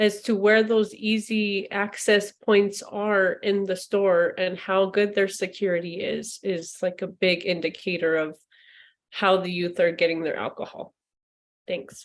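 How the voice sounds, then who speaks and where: Against a quiet background, a woman talks at a fairly slow pace in a medium-pitched voice with monotone, flat intonation. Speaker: prevention team member. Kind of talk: online meeting comment.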